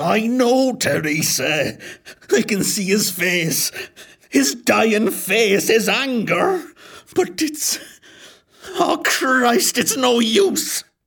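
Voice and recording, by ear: A man speaks very slowly at a high pitch, with long, frequent pauses. His pitch swings very widely.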